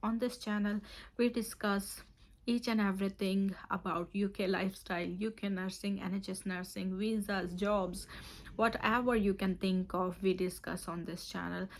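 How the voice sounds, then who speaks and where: At a moderate pace, a woman talks in a normal speaking voice. Her pitch is medium and her intonation fairly even. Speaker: nurse and OET tutor. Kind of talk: tutorial.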